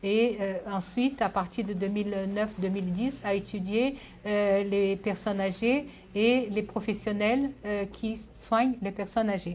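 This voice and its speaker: A woman speaks at a fairly slow pace, her medium-pitched voice somewhat breathy and fairly even in intonation. Audible room echo surrounds her. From Brazil, born in Japan. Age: 70s. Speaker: sociologist. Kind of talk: lecture. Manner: halting, many hesitations.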